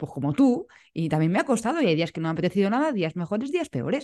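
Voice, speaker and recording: A woman talks at a very fast pace, her pitch swinging very widely. Her tone is dark and mellow, with vocal fry. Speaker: podcast host. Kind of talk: casual interview chat.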